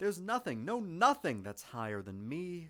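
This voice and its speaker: Bright and sharp in tone, a man speaks at a fairly slow pace with ordinary pitch variation. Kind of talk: children's story reading.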